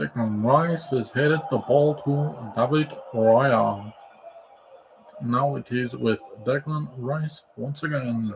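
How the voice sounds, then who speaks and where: Against noticeable background noise, the speaker goes at a very slow pace with long, frequent pauses and ordinary pitch variation. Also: man, medium pitch for a man. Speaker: football watch-along streamer. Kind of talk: live commentary.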